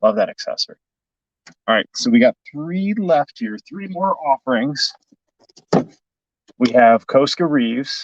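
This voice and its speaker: A man speaks fairly slowly with long, frequent pauses, the sound dry and close with no echo. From US Midwest, Chicago. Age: 40s. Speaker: toy collector youtuber. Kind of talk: livestream unboxing. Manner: enthusiastic.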